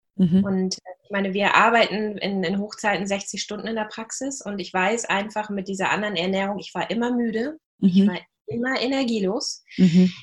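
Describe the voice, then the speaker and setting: Her loudness swinging widely, a woman speaks at a moderate pace in a somewhat breathy voice of medium pitch. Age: 40s. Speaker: practice and marketing manager. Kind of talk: interview.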